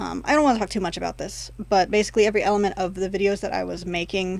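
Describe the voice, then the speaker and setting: A woman talks at a fairly quick pace with a medium pitch and fairly even intonation. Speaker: YouTuber. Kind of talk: casual vlog monologue. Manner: fast, words mushed together; frequent pauses and fillers.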